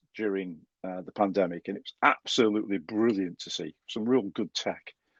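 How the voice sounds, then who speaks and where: A fairly quick delivery in a Stoke accent, with ordinary pitch variation, a dry, close sound free of echo, and a quiet background. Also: man. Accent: Stoke-on-Trent. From Stoke-on-Trent, English Midlands. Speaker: podcast host. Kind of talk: podcast interview.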